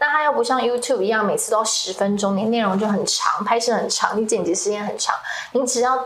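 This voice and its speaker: Audible room echo and noticeable background noise surround the recording. A woman talks at a fairly quick pace in a high pitch. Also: ordinary pitch variation. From Taiwan, Kaohsiung. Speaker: social media creator and entrepreneur. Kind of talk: interview.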